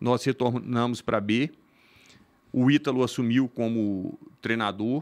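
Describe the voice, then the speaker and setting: Against a quiet background, a man talks at a fairly slow pace with fairly even intonation and long, frequent pauses. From Minas Gerais, Brazil. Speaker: volleyball club manager. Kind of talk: casual interview. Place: studio. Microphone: studio mic.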